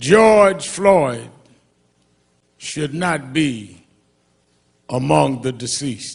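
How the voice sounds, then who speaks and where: A man with an American accent and a fairly high pitch speaks very slowly, with long, frequent pauses. His voice is somewhat breathy, with lively intonation. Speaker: reverend, civil rights activist. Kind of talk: eulogy at a memorial service. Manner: impassioned, emphatic.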